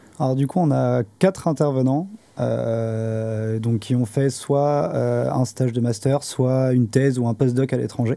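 A man speaks very slowly at a medium pitch. His loudness stays very even. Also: ordinary pitch variation. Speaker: master's student. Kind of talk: casual chat. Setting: studio.

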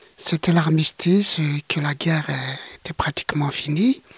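The recording is dry and close, with no echo. A man with a high voice speaks fairly slowly, using ordinary pitch variation. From Algeria, Greater Kabylia. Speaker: witness of the Algerian war as a child. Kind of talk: interview testimony.

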